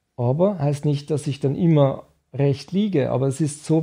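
A man's fairly high, somewhat breathy voice with a dark, mellow tone against a quiet background. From Switzerland. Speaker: nutrition scientist; guest. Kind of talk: interview. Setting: nutrition institute office. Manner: halting. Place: studio. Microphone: studio mic.

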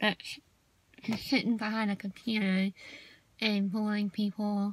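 A woman speaks at a fairly slow pace in a Southern US accent, her voice somewhat breathy and the sound dry with no echo. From US South. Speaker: video blogger. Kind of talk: casual vlog monologue. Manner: shy on camera, casual. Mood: annoyed, venting about haters. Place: car. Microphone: phone near.

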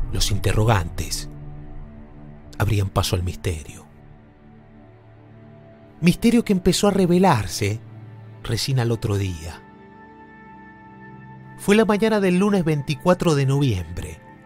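Over music in the background, a man with a medium pitch talks at a fairly slow pace, using very wide pitch swings and long, frequent pauses. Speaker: podcast narrator. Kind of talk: true-crime podcast narration.

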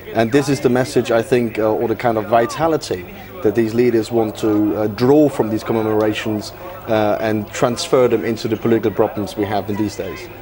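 With hardly any pauses, a man talks at a fairly quick pace and medium pitch over noticeable background noise. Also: ordinary pitch variation. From Germany. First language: German. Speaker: policy analyst. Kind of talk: TV news interview. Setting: studio.

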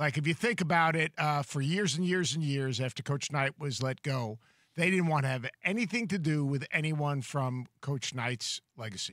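A man with a fairly high pitch and a bright, sharp tone, at a moderate pace with lively intonation, in a dry sound with no echo against a quiet background. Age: 60s. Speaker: college basketball analyst. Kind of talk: sports talk show discussion. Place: studio. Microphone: studio mic.

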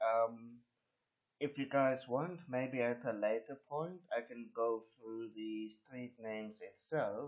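At a very slow pace, a man speaks with ordinary pitch variation. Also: quiet background. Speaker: local video maker. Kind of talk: unscripted casual screen-recording narration. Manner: hesitant, rambling, frequent fillers.

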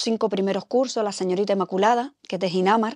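A dark, mellow tone with fairly even intonation, dry with no echo, over a quiet background. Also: woman. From Canary Islands, Mogán (Gran Canaria); Canary Islands, Spain. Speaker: journalist at public television. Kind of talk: testimony interview. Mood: warm, reminiscing. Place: studio. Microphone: lapel.

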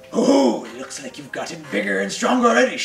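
Delivered at a fairly quick pace, a put-on character voice comes through with a slight echo. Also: man, fairly high pitch for a man. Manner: wise, kindly.

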